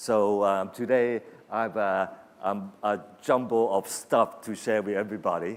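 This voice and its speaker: Using an ordinary speaking voice, a man talks fairly slowly at a fairly low pitch with fairly even intonation. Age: 60s. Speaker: creative industry executive. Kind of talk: keynote speech.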